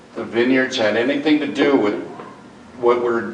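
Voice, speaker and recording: With music in the background and audible room echo, a man talks at a medium pitch. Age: 60s. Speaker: community member at public forum. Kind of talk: public comment at town forum. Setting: community center meeting.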